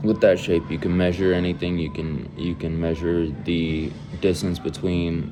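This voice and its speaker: Over noticeable background noise, a man with a very deep, low voice speaks with an American accent. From US West Coast (Antioch, California). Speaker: gaming YouTuber. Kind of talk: casual monologue explainer. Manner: halting, with repetitions.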